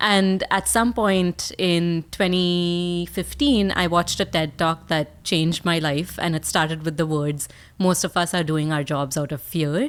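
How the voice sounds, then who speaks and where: In an Indian accent, a woman with a fairly low voice and ordinary pitch variation talks at a fairly slow pace on a very clean recording with a silent background. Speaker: speaker and communication coach. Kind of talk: podcast interview. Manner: animated.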